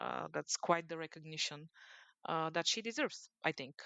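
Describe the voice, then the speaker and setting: In a Bulgarian accent, a woman speaks with a fairly low pitch. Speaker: sports journalist, podcast co-host. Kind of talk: casual podcast discussion. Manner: hesitant, many fillers.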